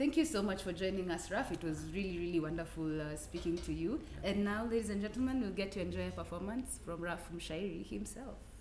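Audible room echo and noticeable background noise accompany a woman's voice. She keeps a moderate pace with hardly any pauses. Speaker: podcast host. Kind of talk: casual interview.

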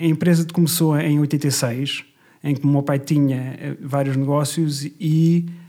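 A man talks at a very slow pace in a fairly high pitch with a dark, mellow tone. His intonation stays flat and monotone. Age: 40s. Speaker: finance director. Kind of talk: casual interview.

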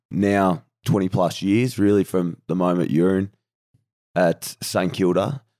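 A man's very deep, low, dark and mellow voice in an Australian accent, on a very clean, silent-background recording with a dry, close sound and no echo. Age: 30s. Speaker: professional footballer and podcast co-host. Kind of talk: casual chat.

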